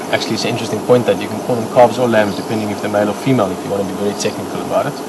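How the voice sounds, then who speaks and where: The speaker talks at a very fast pace with an Afrikaans South African accent and fairly even intonation. Noticeable background noise and audible room echo fill the recording. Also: man. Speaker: safari guide. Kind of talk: live commentary. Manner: casual, halting.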